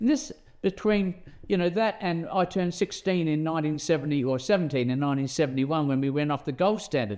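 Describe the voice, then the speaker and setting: A man in an Australian accent at a fairly quick pace. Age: 70s. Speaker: interviewer, bullion dealer. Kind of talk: interview. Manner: halting.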